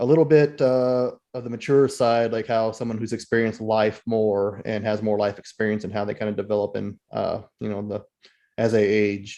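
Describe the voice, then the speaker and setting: A plain, everyday voice from a man at a medium pitch, moderate pace, and fairly even intonation. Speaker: podcast host. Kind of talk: podcast interview questions.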